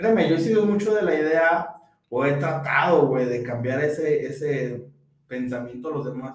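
Fairly high pitch from a man, moderate pace and ordinary pitch variation, with audible room echo. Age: 20s. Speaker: podcast co-host. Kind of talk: casual chat.

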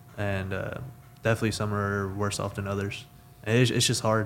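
The speaker talks at a fairly quick pace with a Texan accent. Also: man. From Texas (Weatherford). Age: 20s. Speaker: mechanical engineer. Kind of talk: casual chat.

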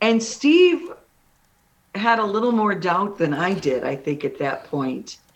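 This voice has vocal fry and very wide pitch swings, in a Midwestern American accent. The pace is fairly slow. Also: woman, medium pitch for a woman. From Illinois, Kankakee. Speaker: singer-songwriter. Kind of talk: radio interview.

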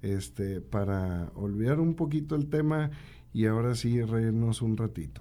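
There is audible room echo around a man whose dark, mellow tone carries lively intonation. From Santiago, Nuevo León, Mexico. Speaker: radio host. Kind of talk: casual radio talk show.

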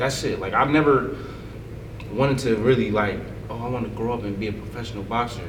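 In an American accent, a man with a medium pitch talks at a fairly quick pace amid noticeable background noise and audible room echo. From New Jersey, Paterson. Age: 20s. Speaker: professional boxer. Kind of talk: casual chat.

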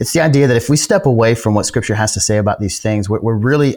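On a very clean recording with a silent background, a man with an American accent speaks in a plain, everyday voice at medium pitch with ordinary pitch variation. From upstate New York and Tulsa, Oklahoma. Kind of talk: interview.

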